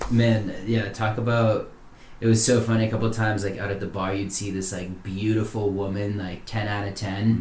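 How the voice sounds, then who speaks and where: A man with an American accent speaks at a fairly quick pace and fairly low pitch. His voice is somewhat breathy, and room echo is audible. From Massachusetts South Shore, near Plymouth. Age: 30s. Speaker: men's coach and retreat leader. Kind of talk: casual chat. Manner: animated.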